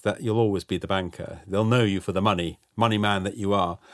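In a very clean recording with a silent background, a man with a fairly low voice speaks at a very fast pace. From Netherlands. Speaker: housing company chief executive. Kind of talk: interview. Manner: hesitant, with fillers and repetitions.

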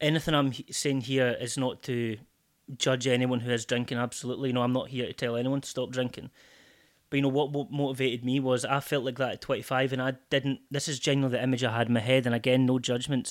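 In a very clean recording with a silent background, a man with a Scottish accent speaks at medium pitch and a very fast pace, his intonation monotone and flat. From Scotland, Port William near Stranraer. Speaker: sobriety coach. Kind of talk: casual chat.

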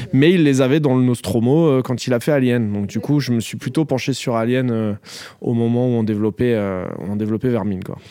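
This man's dark, mellow tone comes with ordinary pitch variation. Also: medium pitch for a man, fairly quick pace. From France, Paris suburbs. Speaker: film director. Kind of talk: interview.

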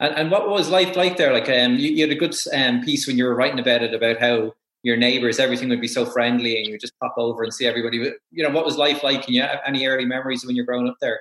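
A man with an Irish accent talks at a very fast pace with hardly any pauses. His pitch is medium, with ordinary variation. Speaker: sports podcast host. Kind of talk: interview.

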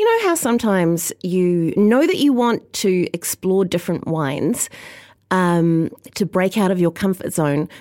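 Over a silent background in a very clean recording, a woman with a New Zealand accent talks at a fairly slow pace, her medium-pitched voice dark and mellow with ordinary pitch variation. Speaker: podcast host and wine writer. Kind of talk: casual chat. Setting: studio.

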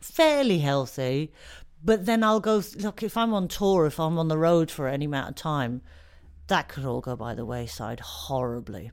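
A woman with an English accent speaks at a moderate pace in a very deep, low pitch, her voice swinging very widely in pitch on a very clean recording with a silent background. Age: 40s. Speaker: comedian. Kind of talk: interview. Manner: halting.

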